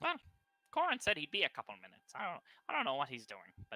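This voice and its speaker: Music plays in the background as a put-on character voice with a fairly high pitch rattles along at a very fast pace. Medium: actual play. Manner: rambling, hesitant.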